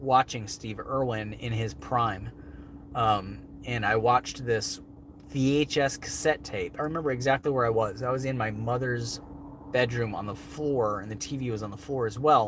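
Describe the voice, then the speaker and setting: A man at medium pitch, moderate pace and ordinary pitch variation, with noticeable background noise. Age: 30s. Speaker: wildlife show host. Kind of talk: livestream Q&A. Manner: casual, filler-heavy.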